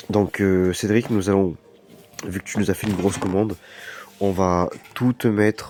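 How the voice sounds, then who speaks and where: A man's fairly low voice moves at a fairly slow pace in a monotone, flat intonation. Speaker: card shop seller. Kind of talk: product showcase video. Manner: hesitant, many fillers.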